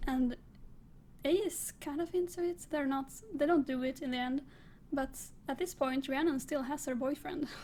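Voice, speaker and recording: A woman with a non-native accent speaks at a high pitch in a dark, mellow tone. Her moderate pace and ordinary pitch variation are broken by long, frequent pauses. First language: not English. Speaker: book reviewer. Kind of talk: casual monologue. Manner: halting.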